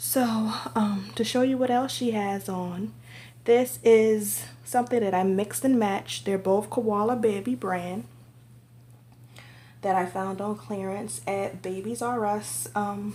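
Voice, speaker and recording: A woman speaks at a fairly slow pace in a medium pitch with very wide pitch swings. Her tone is dark and mellow, and somewhat breathy. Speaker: reborn doll collector and vlogger. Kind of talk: casual show-and-tell vlog.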